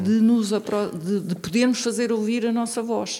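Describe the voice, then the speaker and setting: A woman speaks at a fairly slow pace with a fairly high pitch. Her intonation is monotone and flat, and there is noticeable background noise. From central Portugal, Tomar. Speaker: local election candidate, geologist. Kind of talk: interview.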